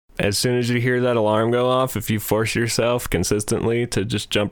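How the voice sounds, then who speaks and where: A man's plain, everyday voice at medium pitch and a fairly quick pace, on a very clean recording with a silent background. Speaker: podcast host. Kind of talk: casual comedic banter. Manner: joking, playful.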